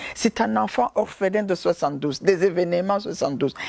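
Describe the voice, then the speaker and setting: In a Burundian accent, a woman with a dark, mellow tone speaks at a moderate pace, the sound dry and close with no echo. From Burundi, Ruyigi province. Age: 50s. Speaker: humanitarian founder. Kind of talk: testimony. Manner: hesitant, many fillers.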